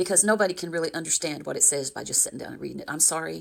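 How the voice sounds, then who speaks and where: Fairly low-pitched female voice with vocal fry, ordinary pitch variation and a very fast pace. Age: 70s. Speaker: religious commentary youtuber. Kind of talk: casual commentary monologue. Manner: halting, with frequent fillers.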